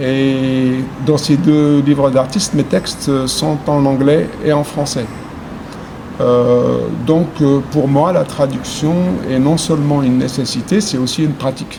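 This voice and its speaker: A man with an Arabic accent speaks fairly slowly in a fairly high voice. His intonation stays fairly even against noticeable background noise. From Algeria. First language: Arabic (speaking French). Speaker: poet. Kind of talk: interview. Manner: halting, many hesitations.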